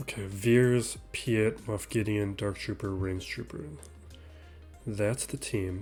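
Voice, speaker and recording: Music in the background under a man's fairly low voice, very slow in pace, with ordinary pitch variation. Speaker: gaming channel host. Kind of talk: gameplay commentary. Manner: casual, thinking aloud.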